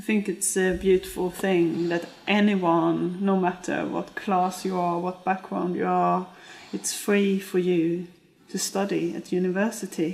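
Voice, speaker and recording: The woman's pitch is medium and her intonation monotone and flat. She speaks at a fairly slow pace. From Sweden. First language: Swedish. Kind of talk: documentary interview.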